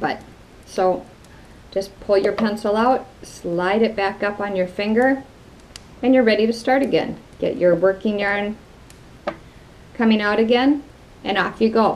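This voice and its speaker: A woman speaks at a fairly slow pace with a Wisconsin accent and a fairly high pitch. Her speech has long, frequent pauses. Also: fairly even intonation. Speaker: craft video host. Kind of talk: tutorial. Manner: casual, conversational.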